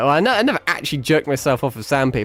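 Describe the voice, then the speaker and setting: A man with an American accent speaks over music in the background. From Britain. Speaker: vtuber game streamer. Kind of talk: live gameplay stream chat. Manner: casual, rambling with stammers.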